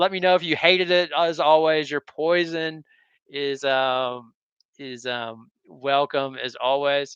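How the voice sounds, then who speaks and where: The man's voice sits fairly high. Its pitch variation is ordinary. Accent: American. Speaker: sports YouTuber. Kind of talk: casual live stream commentary. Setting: live stream from home. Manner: halting, many repeated words and fillers.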